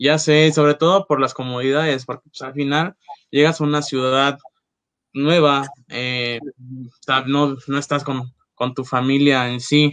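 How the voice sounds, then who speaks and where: Speaking fairly slowly with long, frequent pauses, a man uses a fairly high pitch and monotone, flat intonation, with big swings in loudness. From Mexico, Acapulco. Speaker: former coffee shop manager. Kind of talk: casual chat.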